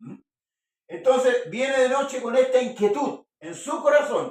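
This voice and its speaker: A man speaks at an extremely high pitch. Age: 60s. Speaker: preacher. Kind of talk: sermon.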